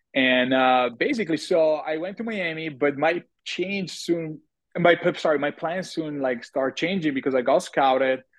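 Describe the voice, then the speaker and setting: A man in an Italian accent speaks with lively intonation. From Italy. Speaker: TV personality and model. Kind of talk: casual interview chat.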